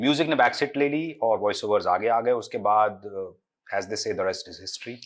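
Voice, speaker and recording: A man uses a normal speaking voice at medium pitch on a very clean recording with a silent background. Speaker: voice actor. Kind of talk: interview answer.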